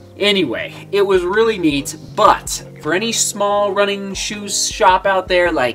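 A man's high-pitched, fairly bright voice at a fairly slow pace, with ordinary pitch variation and faint music in the background

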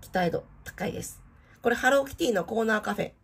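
A woman talks at a very fast clip, her intonation lively and her voice carrying vocal fry. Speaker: theme park vlogger. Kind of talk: product showcase narration. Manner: polite, formal.

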